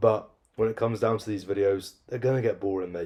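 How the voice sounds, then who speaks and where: A man with a British accent talks fairly quickly in a fairly low, dark, mellow and somewhat breathy voice. His tone is deadpan, and the recording is very clean with a silent background. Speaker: fitness coach and vlogger. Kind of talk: casual vlog monologue.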